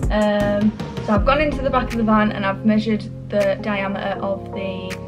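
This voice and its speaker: A woman is talking while clear music sounds behind her. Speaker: DIY van build vlogger. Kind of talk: casual vlog chat. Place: home room. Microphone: camera far.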